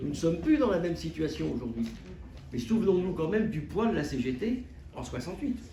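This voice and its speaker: Very wide pitch swings from a man, plus audible room echo. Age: 70s. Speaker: trade union activist. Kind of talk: closing remarks at a public debate. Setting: conference hall with audience. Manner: hesitant, with many fillers.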